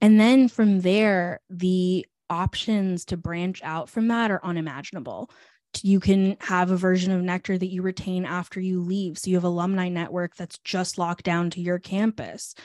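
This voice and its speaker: Over a quiet background, a woman with an ordinary speaking voice speaks at a medium pitch and a moderate pace, with fairly even intonation, in a dry, close sound with no echo. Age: 20s. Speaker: startup founder. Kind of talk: casual interview.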